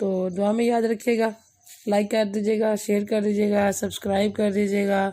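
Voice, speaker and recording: A woman speaks at a fairly slow pace in a medium pitch, her tone dark and mellow. Her intonation is flat and monotone, and her loudness stays very even. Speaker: vlogger, mother. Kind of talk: casual vlog talk.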